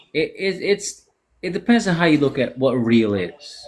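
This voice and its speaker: Vocal fry runs through this fairly slow delivery, which swings very widely in pitch. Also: man. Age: 40s. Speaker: podcast host. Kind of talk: casual chat. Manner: animated.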